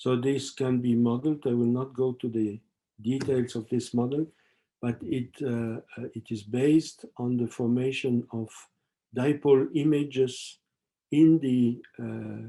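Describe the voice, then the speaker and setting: A man with a French accent, medium in pitch with a dark, mellow tone, fairly even intonation and a fairly slow pace. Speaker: professor. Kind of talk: lecture. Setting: webinar. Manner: halting, many fillers.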